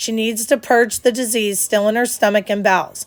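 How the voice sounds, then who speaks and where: A woman's put-on character voice, fairly high and growling, with fairly even intonation at a moderate pace. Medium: read story. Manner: authoritative, brusque.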